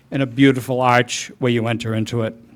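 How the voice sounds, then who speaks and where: A man talks at a very fast pace. The recording is very clean, with a silent background. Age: 70s. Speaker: resident speaking at public comment, war veteran. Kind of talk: public comment at town meeting. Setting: public meeting room. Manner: halting, repeats words.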